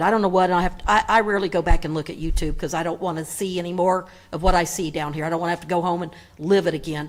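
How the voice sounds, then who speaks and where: A woman with a Southern US accent talks at a very fast pace in an animated tone. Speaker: public commenter at council meeting. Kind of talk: public comment speech. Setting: council chamber PA microphone.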